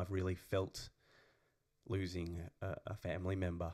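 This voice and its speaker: In a very clean recording with a silent background, a man speaks at a fairly low pitch with an Australian accent. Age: 30s. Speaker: podcast co-host and actor. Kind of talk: casual chat.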